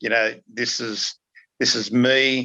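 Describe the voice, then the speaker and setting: In an Australian accent, a man speaks with a bright, sharp tone and flat, monotone intonation. The sound is dry and close with no echo, over a quiet background. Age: 60s. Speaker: documentary participant, retired researcher. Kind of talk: podcast interview. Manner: hesitant, many fillers.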